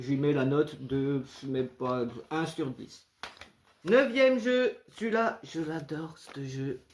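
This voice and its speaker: The pace is very slow. Long pauses come often. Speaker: video game collector youtuber. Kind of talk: casual video review. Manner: halting, many hesitations; varies loudness, speaks loud or quiet on purpose.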